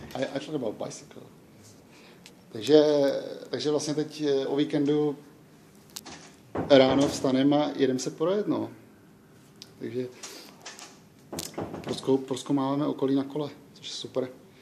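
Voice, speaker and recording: A man with a fairly high pitch speaks in a monotone, flat intonation at a moderate pace. His loudness swings widely, and he takes long, frequent pauses. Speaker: vlogger. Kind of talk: casual vlog chat. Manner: halting.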